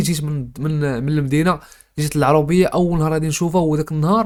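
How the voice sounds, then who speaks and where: At a very fast pace, a man with a fairly high pitch speaks in a monotone, flat intonation. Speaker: YouTuber storyteller. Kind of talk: casual storytime monologue.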